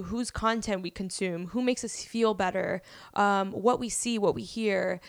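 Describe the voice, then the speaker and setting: An unremarkable speaking voice from a woman, fairly high in pitch, fairly even in intonation, at a fairly slow pace. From Miami, Florida. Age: 20s. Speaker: podcast host. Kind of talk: casual chat.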